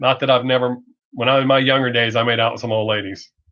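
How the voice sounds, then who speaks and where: In a strong Southern US accent, the speaker talks very fast in a flat monotone. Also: man. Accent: heavy Southern US. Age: 50s. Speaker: streamer. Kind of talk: casual chat. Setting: live stream.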